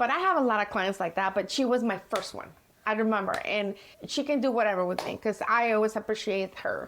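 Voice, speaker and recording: Over noticeable background noise, a woman with a Mexican accent speaks fairly quickly at a fairly high pitch. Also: ordinary pitch variation. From Mexico. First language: Spanish. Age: 50s. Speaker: hair colorist. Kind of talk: casual chat.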